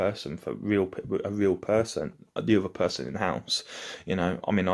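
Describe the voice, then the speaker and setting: A man talks at a moderate pace. His pitch is very deep and low, with ordinary variation. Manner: hesitant, many fillers.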